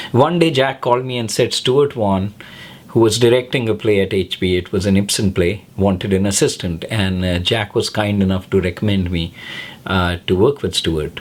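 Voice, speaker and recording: Noticeable background noise runs behind a man with a fairly low pitch. He talks at a moderate pace with ordinary pitch variation. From North India, Lucknow. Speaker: filmmaker and film teacher. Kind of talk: personal testimonial, direct to camera.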